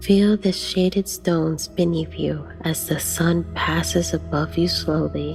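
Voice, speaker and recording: A woman talks fairly slowly with hardly any pauses as music plays behind her. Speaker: guided meditation narrator. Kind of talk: guided meditation narration.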